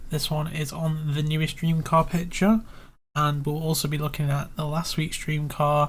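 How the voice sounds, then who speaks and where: A man with a British accent, his voice fairly high in pitch and somewhat breathy, flat and monotone at a moderate pace. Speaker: YouTuber analysing competition photos. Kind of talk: screen-recorded tutorial commentary. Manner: casual, hesitant with fillers.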